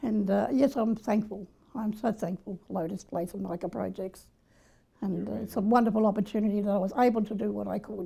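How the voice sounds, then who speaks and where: With an Australian accent, a woman talks at medium pitch and a fairly quick pace, her tone dark and mellow with vocal fry and fairly even intonation. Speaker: former orphanage resident, service user. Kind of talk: testimony. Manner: fast.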